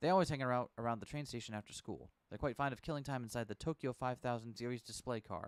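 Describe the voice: What we hear is someone doing plain reading aloud.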